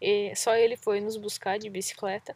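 A woman's monotone, flat delivery at a fairly slow pace. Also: dry, close sound with no echo. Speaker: travel podcast host, cyclist. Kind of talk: casual chat. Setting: outdoors by a lake.

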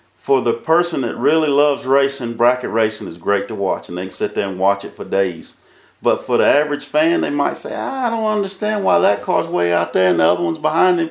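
Here a man talks at a fairly quick pace with a North Carolina accent. His medium-pitched voice swings very widely in pitch. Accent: Southern US (North Carolina). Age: 50s. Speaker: drag racing track manager. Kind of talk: casual chat. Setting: track control tower.

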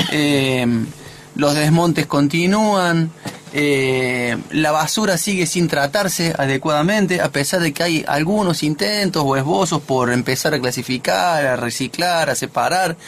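Against noticeable background noise, a man speaks fairly slowly at a fairly high pitch, with ordinary pitch variation and very even loudness. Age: 50s. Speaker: radio host. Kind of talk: casual chat. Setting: studio.

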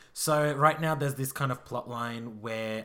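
A man speaks with an Australian accent in a bright, sharp tone. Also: very clean recording, silent background. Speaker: podcast host. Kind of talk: casual chat.

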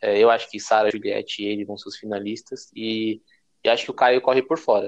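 A man is speaking. He goes at a very fast pace. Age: 20s. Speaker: podcast co-host. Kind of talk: casual chat.

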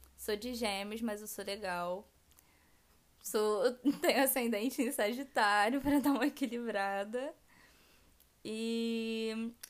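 A woman speaks at a very slow pace, her pitch fairly high and her intonation fairly even. The recording is very clean, with a silent background. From Rio de Janeiro state interior, Região dos Lagos. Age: 20s. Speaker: podcast co-host, braiding entrepreneur. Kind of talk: casual chat.

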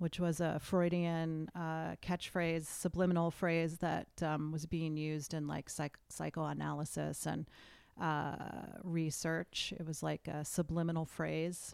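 Flat, monotone delivery in an American accent, with a very clean recording and a silent background. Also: woman, very deep, low pitch for a woman, fairly slow pace. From US Northeast, western Massachusetts. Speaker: author and filmmaker. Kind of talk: casual chat.

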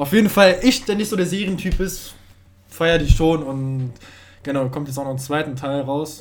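Fairly high-pitched for a man, this speaker has an unremarkable speaking voice, ordinary pitch variation, big swings in loudness and a moderate pace. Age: young. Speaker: podcast co-host. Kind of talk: casual chat.

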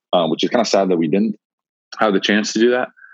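Fairly low in pitch, a man speaks at a very fast pace with fairly even intonation. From Montreal, Canada. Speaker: college basketball player. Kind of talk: casual interview.

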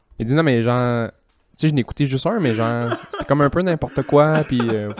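Talking at a fairly quick pace, a man with a Quebec accent has a fairly high pitch and ordinary pitch variation. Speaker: podcast guest. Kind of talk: casual chat.

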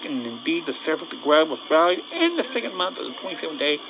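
Noticeable background noise behind a man speaking at a high pitch. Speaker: bible teacher. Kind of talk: scripture reading with commentary. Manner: halting.

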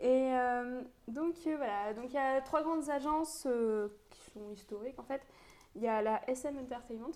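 High-pitched woman at a fairly slow pace, ordinary pitch variation, big swings in loudness. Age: 20s. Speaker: law student, podcast co-host. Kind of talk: casual chat.

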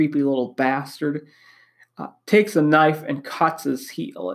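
A man with an Upper Midwest accent speaks at a fairly slow pace in a fairly high voice with ordinary pitch variation, on a very clean recording with a silent background. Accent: Upper Midwest American. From Wisconsin. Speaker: podcast host. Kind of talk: solo monologue.

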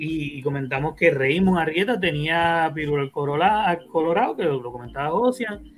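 Speaking with hardly any pauses, a man has an unremarkable speaking voice, a fairly high pitch and lively intonation. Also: fairly slow pace. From Puerto Rico. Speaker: podcast host. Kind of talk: casual chat. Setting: live stream.

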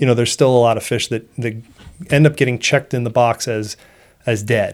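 With an American accent, a man speaks at a medium pitch in a plain, everyday voice, his intonation fairly even. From Seacoast New Hampshire, US. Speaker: fisheries biologist. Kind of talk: interview.

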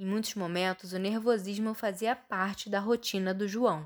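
Her voice is an ordinary speaking voice at a fairly high pitch. This woman speaks at a moderate pace. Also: very clean recording, silent background. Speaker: journalism student, podcast host. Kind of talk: scripted narration.

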